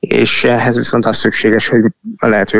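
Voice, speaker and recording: The pace is moderate as this man talks. No echo is heard, and the sound is dry and close. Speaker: tech company founder and CEO. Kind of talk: interview. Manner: halting, many fillers.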